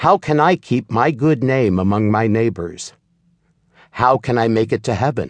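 A man talks at a moderate pace and medium pitch in an ordinary speaking voice, with lively intonation and very even loudness, the sound dry and close with no echo over a quiet background. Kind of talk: audiobook narration of a reflective spiritual text. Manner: measured, solemn, even-paced reading.

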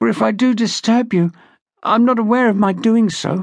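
A put-on character voice, croaky and hoarse, pitched fairly high. It moves at a moderate pace.

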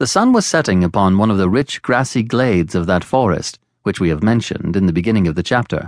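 A man's fairly low voice at a very fast pace, with very even loudness and ordinary pitch variation. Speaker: audiobook narrator. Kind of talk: audiobook reading of a classic novel, scripted narration. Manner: measured, formal, even-paced; steady descriptive storytelling with a literary cadence.

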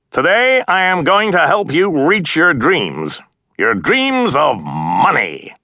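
A man shouts in a put-on character voice pitched high, going at a fairly slow pace with very even loudness. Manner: shouting, thumping, energetic.

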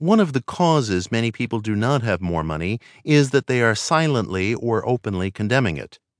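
Heard dry and close with no echo against a quiet background, a man with a plain, everyday voice speaks at a moderate pace, his medium pitch moving in lively intonation. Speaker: audiobook narrator. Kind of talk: audiobook narration, reading aloud a self-help text. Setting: studio. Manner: measured, earnest, calm and steady; warm, persuasive, inspirational, formal.

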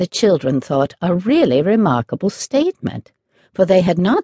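Quiet surroundings and plain reading aloud

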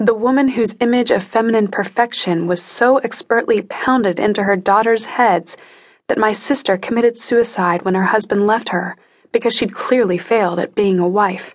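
At a moderate pace, a woman with a fairly high pitch speaks in an animated tone with ordinary pitch variation. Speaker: audiobook narrator. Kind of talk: audiobook narration, first-person dramatic reading with character voices. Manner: tense, emotionally charged, intimate; animated, shifting between narrator and character voices.

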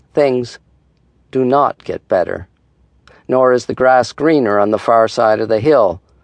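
A man at medium pitch in a dramatic tone, at a fairly slow pace with long, frequent pauses and ordinary pitch variation, in a dry, close sound with no echo. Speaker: audiobook narrator. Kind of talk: audiobook narration of meditation reflections, reflective and dramatic. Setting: studio. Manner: measured, wry, dramatic, with pauses for effect.

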